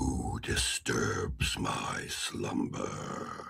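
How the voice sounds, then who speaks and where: The voice is raspy. It belongs to a man doing a put-on character. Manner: menacing.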